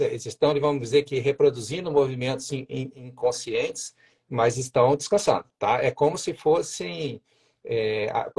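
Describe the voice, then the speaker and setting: This man's voice sits fairly high in pitch, is somewhat breathy and has lively intonation, with a dry, close sound and no echo. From Minas Gerais, Juiz de Fora. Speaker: endocrinologist. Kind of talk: casual interview. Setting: livestream. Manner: hesitant, with many fillers.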